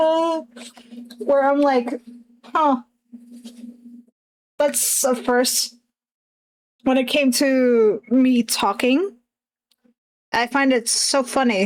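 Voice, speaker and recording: With a non-native accent, a woman talks very slowly in a high voice, stopping often for long pauses. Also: ordinary pitch variation. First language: not English. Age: 20s. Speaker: streamer and artist. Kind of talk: casual chat. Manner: halting.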